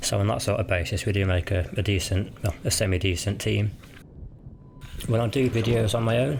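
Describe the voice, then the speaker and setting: Over noticeable background noise, a man with a fairly low pitch talks at a fairly quick pace in a relaxed tone, with ordinary pitch variation and very even loudness. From West Midlands, England (Cannock, Birmingham area). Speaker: gaming YouTuber. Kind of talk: casual vlog commentary.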